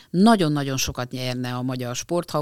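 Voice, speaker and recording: A woman's very deep, low voice with a dry, close sound and no echo. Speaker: sports psychologist, university department head. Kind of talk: interview. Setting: studio.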